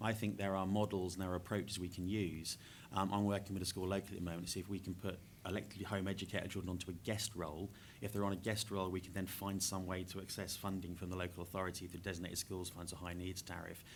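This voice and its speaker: A man with a very deep, low voice speaks very fast in a flat monotone. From England, Norfolk. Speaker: education charity worker. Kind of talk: panel discussion.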